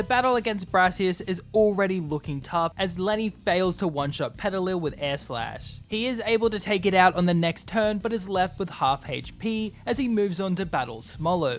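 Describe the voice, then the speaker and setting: Moderate pace and hardly any pauses, with music in the background. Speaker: gaming YouTuber. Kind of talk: scripted gameplay narration.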